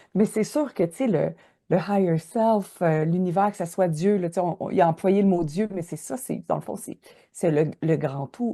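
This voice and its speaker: This woman speaks in a Quebec accent at a moderate pace, her fairly low pitch showing ordinary variation. Her tone is dark and mellow, set against a quiet background. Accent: Québécois French. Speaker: podcast host. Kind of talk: casual interview. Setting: travelling on the road, recording live. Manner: loud.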